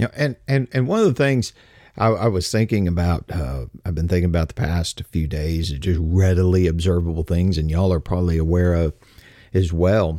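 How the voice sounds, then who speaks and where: Speaking in a Texas accent at a fairly quick pace, a man has a very deep, low pitch, a relaxed, dark, mellow tone, ordinary pitch variation and a dry, close sound with no echo. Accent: Texas Southern US. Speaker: radio host. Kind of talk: casual newsreading-style show opening, informal address to listeners. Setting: streaming radio show, solo. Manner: relaxed, folksy, conversational.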